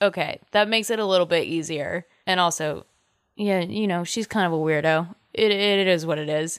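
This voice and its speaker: A woman's normal speaking voice, fairly quick with fairly even intonation, on a very clean recording with a silent background. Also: fairly low pitch for a woman. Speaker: podcast co-host. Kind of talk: casual chat.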